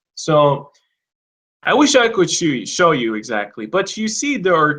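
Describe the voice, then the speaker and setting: His accent is non-native. The man talks at a fairly slow pace. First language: not English. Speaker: English teacher. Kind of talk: online class. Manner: casual, profane.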